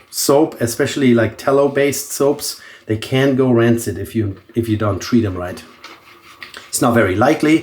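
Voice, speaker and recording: Over noticeable background noise, a man talks at a moderate pace, his medium pitch showing ordinary variation. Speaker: shaving video creator. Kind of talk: casual tutorial.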